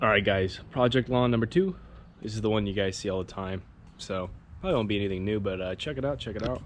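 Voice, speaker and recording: With an American accent, a man talks at a very fast pace. His pitch is fairly low with ordinary variation. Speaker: lawn care youtuber. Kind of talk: casual lawn care vlog. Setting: outdoors.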